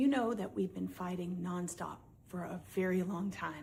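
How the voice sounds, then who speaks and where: A woman speaks fairly slowly and calmly at a medium pitch, somewhat breathy, with a dark, mellow tone and ordinary pitch variation. Audible room echo surrounds her voice. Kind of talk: heated argument.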